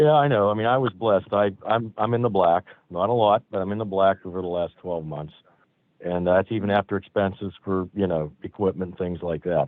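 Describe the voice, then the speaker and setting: A man with a normal speaking voice and an American accent talks at a fairly quick pace, his fairly low pitch showing ordinary variation. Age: 60s. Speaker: constable. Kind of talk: public meeting comment.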